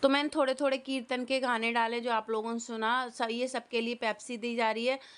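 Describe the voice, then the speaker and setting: Delivery comes at a moderate pace. Its intonation is monotone and flat. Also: woman. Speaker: family vlogger. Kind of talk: vlog narration. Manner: casual, halting.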